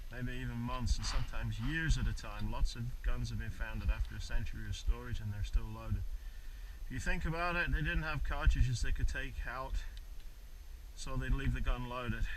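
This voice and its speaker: Fairly quick male speech with audible room echo. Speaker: shooting hobbyist demonstrating a rifle. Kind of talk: tutorial. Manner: halting. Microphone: action camera mic in rainproof case, poor sound.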